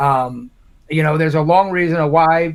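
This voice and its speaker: A man's plain, everyday voice with an American accent, fairly high in pitch, with fairly even intonation. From Indiana, Morgan County. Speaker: congressional candidate. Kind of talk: live town hall Q&A.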